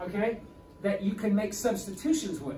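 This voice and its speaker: A man with a high pitch and lively intonation is heard with audible room echo and noticeable background noise. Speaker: high school calculus teacher. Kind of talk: lecture. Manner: fast; halting.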